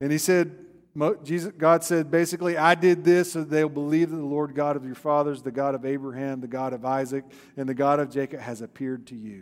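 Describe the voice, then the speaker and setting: Fairly quick speech from a man at a fairly high pitch, with big swings in loudness. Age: 50s. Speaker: pastor. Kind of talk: sermon. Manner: animated.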